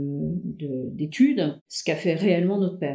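A woman's medium-pitched voice with a dark, mellow tone, lively intonation and a fairly slow pace. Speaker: family storyteller. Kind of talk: casual chat. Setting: shared microphone with relative. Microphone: shared mic, sound slightly worse than usual.

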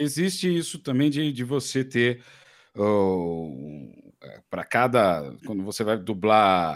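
Very wide pitch swings mark a man's fairly low voice as he speaks at a very slow pace in a very clean recording with a silent background. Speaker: podcast co-host. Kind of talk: casual chat.

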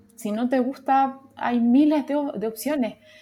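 A woman with a Chilean accent and fairly even intonation. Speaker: UX designer. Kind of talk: casual chat. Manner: halting.

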